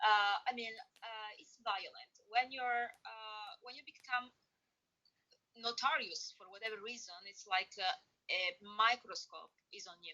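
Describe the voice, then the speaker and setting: A woman with a fairly high pitch speaks at a fairly slow pace, with long, frequent pauses. Her intonation is lively, and her loudness swings widely. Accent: Italian. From Italy. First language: Italian. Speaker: interview guest. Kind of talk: interview. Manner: halting, many fillers.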